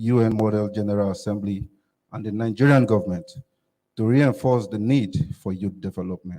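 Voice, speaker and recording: At a moderate pace, a man speaks with a fairly low pitch, a dark, mellow tone and ordinary pitch variation. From Nigeria, Kogi State. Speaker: youth summit delegate. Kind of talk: prepared speech. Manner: formal.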